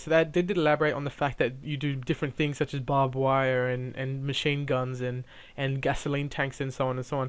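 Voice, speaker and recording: Fairly quick and monotone, a man talks with flat intonation and a fairly high pitch. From Australia, Sydney. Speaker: video game reviewer. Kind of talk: casual video game preview. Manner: halting, many fillers and repeats; casual, chatty.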